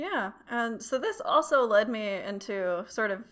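Here a woman has a bright, sharp tone and ordinary pitch variation. The recording is very clean with a silent background. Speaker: astronomy PhD student and podcast host. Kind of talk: casual conversational podcast.

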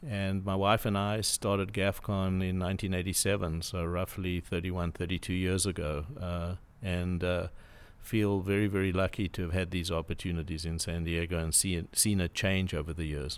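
A man with a very deep, low voice speaks in a flat monotone with a South African accent, recorded very cleanly against a silent background. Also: moderate pace. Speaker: property development CEO. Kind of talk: casual interview chat. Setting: studio.

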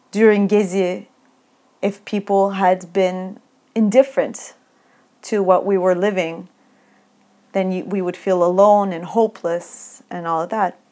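With a Turkish accent and a dark, mellow tone, a woman speaks in a medium pitch at a fairly slow pace, monotone and flat, with long, frequent pauses on a very clean recording against a silent background. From Turkey. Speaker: academic researcher. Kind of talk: interview. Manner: hesitant with fillers.

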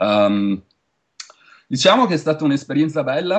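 A man speaks in a Venetian accent. His intonation is lively. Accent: Venetian Italian. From Veneto, Italy. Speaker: Italian emigrant in tech retail. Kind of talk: interview. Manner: talkative.

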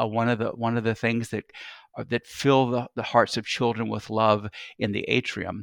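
A man with an American accent at medium pitch and a moderate pace, on a very clean recording with a silent background and a dry, close sound with no echo. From US South, Columbus, Georgia. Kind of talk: interview. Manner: halting.

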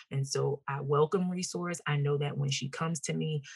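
A woman's very deep, low-pitched voice, somewhat breathy. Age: 30s. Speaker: entrepreneur and mother. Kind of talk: interview conversation.

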